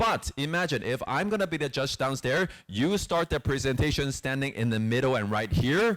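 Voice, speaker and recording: A man talks with hardly any pauses in an animated tone at a fairly high pitch, with very wide pitch swings and very even loudness, on a very clean recording with a silent background. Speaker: presentation skills trainer. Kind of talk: training workshop. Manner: fast.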